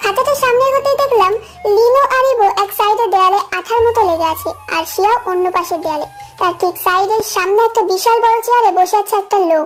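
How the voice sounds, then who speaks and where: Over clear background music, a woman speaks at an extremely high pitch. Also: moderate pace. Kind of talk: first-person fan story narration. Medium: audio drama.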